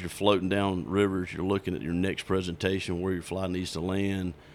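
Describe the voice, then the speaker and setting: A man with a Southern US accent speaks at a very deep, low pitch with fairly even intonation. The recording is very clean, with a silent background. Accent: Southern US (Georgia). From South Georgia, US. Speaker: fly shop owner and fishing guide. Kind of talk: casual interview. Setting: in person at his fly shop.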